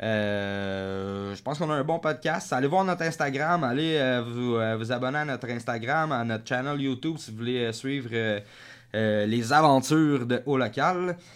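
A man with a Quebec accent speaks at a fairly slow pace in medium pitch with ordinary pitch variation, in a very clean recording with a silent background. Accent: Québécois French. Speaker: podcast host. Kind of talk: casual chat.

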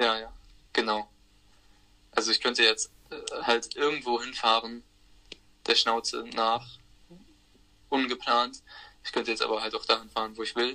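This man keeps to a moderate pace. Long pauses come up often in his speech. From Germany, Hamburg. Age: 20s. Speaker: van traveller. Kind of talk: casual interview chat. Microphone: transmission problems.

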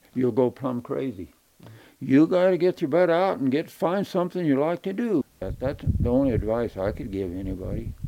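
A man's dark, mellow voice with an American accent and very wide pitch swings, at a moderate pace. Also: medium pitch for a man. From Arizona. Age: 80s. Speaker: rancher. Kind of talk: interview.

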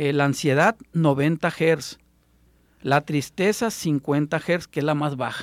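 A man speaks at a very slow pace. The recording is very clean, with a silent background and a dry, close sound with no echo. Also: fairly high pitch for a man, ordinary pitch variation. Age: 20s. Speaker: alternative health therapist. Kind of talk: radio interview. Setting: radio studio.

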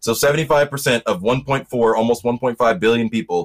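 A man with an American accent has an unremarkable speaking voice at a medium pitch, with ordinary pitch variation and a dry, close sound with no echo. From US South. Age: 20s. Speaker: podcast guest. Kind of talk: casual political discussion. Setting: home bedroom, video call.

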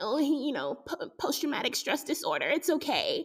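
With a raised, projected voice, a woman speaks at a high pitch and a moderate pace in an animated, bright, sharp tone. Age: 30s. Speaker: podcast host. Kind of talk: casual monologue.

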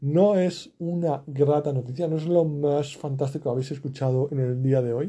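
Speaking at a moderate pace with hardly any pauses, a man uses a fairly high pitch, a dark, mellow tone, a somewhat breathy quality and fairly even intonation. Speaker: podcaster. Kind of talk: daily monologue podcast. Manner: low energy; hesitant.

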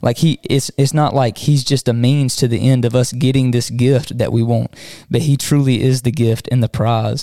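Dark and mellow in tone, a man with a Southern US accent speaks at a moderate pace with monotone, flat intonation and very even loudness. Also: medium pitch for a man, dry, close sound with no echo. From Southwest Georgia. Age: 20s. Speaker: podcast co-host and church youth leader. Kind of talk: casual chat.

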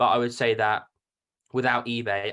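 On a very clean recording with a silent background, a man with a British accent talks at a moderate pace. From UK. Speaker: card collector and reseller. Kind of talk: casual interview chat.

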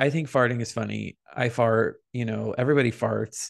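The man's voice sits at a medium pitch and moves at a fairly slow pace. The background is quiet. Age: 20s. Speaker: podcast co-host. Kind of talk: casual chat. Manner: animated.

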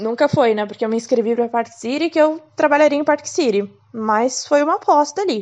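A woman speaks in a high pitch at a moderate pace. Her intonation is lively. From Curitiba, southern Brazil. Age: 20s. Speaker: podcaster sharing exchange experience. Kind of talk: casual monologue.

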